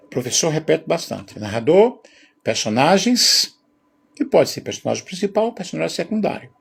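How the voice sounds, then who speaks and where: There is vocal fry in this man's voice as his pitch swings very widely. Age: 60s. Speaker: teacher. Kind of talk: lecture. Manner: casual, conversational.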